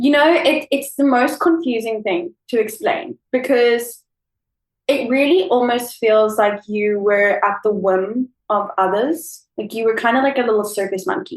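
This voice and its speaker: With a South African accent, a woman speaks at a fairly slow pace in a high pitch with lively intonation. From South Africa, Cape Town. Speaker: former au pair. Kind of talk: casual chat. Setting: remote call. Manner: animated.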